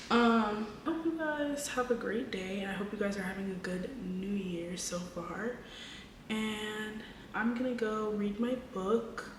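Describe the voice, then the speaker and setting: A woman whispers at a fairly slow pace, with noticeable background noise and audible room echo. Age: 20s. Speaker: vlogger. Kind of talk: casual chat. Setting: at home late at night. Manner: whispering; casual.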